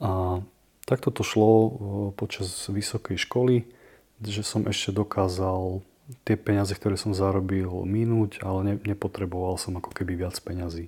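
Against a silent background on a very clean recording, a man speaks at a moderate pace in a fairly low, somewhat breathy voice with a dark, mellow tone and monotone, flat intonation. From eastern Slovakia, Prešov. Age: 30s. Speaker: podcast host, recovering gambler. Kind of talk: personal testimony.

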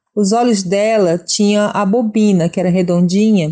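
At a moderate pace, a woman with a medium pitch and a dark, mellow tone speaks with fairly even intonation against a quiet background. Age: 40s. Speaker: university student and seamstress. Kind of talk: testimony. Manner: hesitant.

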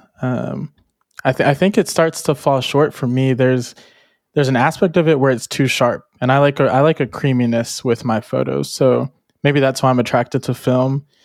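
A man with a normal speaking voice talks at medium pitch and a moderate pace with fairly even intonation, in a dry, close sound with no echo on a very clean recording with a silent background. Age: young. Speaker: podcast co-host and photographer. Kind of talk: casual chat.

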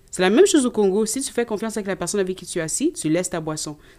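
At a very fast pace, a woman speaks in a dark, mellow tone at medium pitch on a very clean recording with a silent background. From Canada (Quebec), Congolese parents. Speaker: nursing student. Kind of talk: casual chat.

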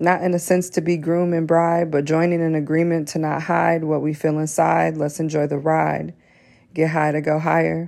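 On a very clean recording with a silent background, a woman with a very deep, low pitch speaks at a moderate pace in a playful, confident tone with monotone, flat intonation. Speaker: spoken word poet. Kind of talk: spoken word poetry, a performed love poem. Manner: rhythmic, playful and flirtatious, with rhyme-driven cadence; confident yet vulnerable and earnest.

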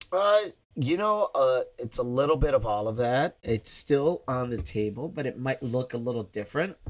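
A man with a normal speaking voice and an American accent, moderate in pace, with lively intonation. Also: medium pitch for a man. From Chicago, south side. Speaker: improv director and teacher. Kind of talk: casual interview.

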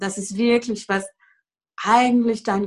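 A woman with a French accent speaks in a somewhat breathy voice. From France. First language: French (speaking German). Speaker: Access Consciousness facilitator, former yoga teacher. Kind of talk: casual interview conversation. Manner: hesitant, many fillers.

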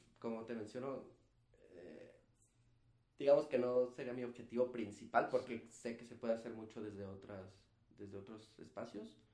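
This dark, mellow voice moves at a moderate pace with fairly even intonation, long, frequent pauses and big swings in loudness. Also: man, medium pitch for a man. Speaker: physician and public health specialist. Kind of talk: casual interview.

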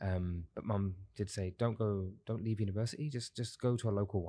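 In a very clean recording with a silent background, a man speaks at a fairly quick pace with a fairly low pitch. His dark, mellow tone is somewhat breathy, and his intonation is fairly even. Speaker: men's coach. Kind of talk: casual interview conversation. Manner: fast talker.

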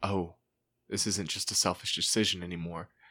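With an American accent, a man talks at a fairly quick pace in a bright, sharp tone and monotone, flat intonation. The recording is very clean, with a silent background. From Texas, Junction. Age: 30s. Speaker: recovered addict. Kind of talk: testimony.

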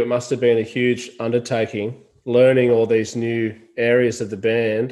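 With an Australian accent, a man speaks at a medium pitch and moderate pace in a monotone, flat intonation. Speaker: podcast host. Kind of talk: casual interview chat.

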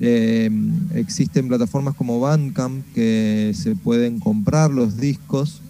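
Speaking very slowly at medium pitch, a man is heard against noticeable background noise. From Argentina, Mendoza. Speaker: musician. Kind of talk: radio interview. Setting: video call.

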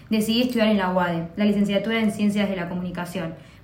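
A woman's fairly high voice at a very fast pace, with fairly even intonation and audible room echo. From Argentina, Buenos Aires province (Pilar). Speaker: podcast co-host. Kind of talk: casual chat.

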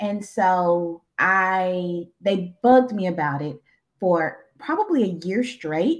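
A woman with a Southern US accent, very slow in pace, with ordinary pitch variation. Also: medium pitch for a woman. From Arkansas. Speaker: therapist and social worker. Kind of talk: interview.

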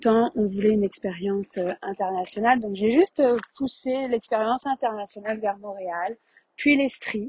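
This woman's voice is fairly high in pitch and somewhat breathy. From France, Paris region. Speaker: spiritual healer and podcast host. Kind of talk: personal monologue.

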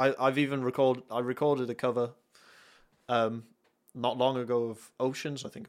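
A man with a North Welsh accent speaks at a moderate pace in a medium pitch, his intonation flat and monotone, with long, frequent pauses, on a very clean recording with a silent background. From North Wales. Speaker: worship musician. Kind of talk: casual chat.

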